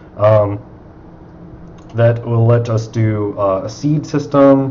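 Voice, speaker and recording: Mumbling with ordinary pitch variation, a man is heard amid noticeable background noise and audible room echo. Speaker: indie video game developer. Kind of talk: casual chat. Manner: halting.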